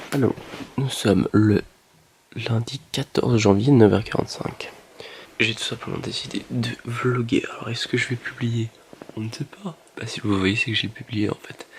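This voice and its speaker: Whispering at a fairly slow pace with long, frequent pauses, a man can be heard over noticeable background noise. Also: big swings in loudness. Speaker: vlogger. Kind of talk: vlog.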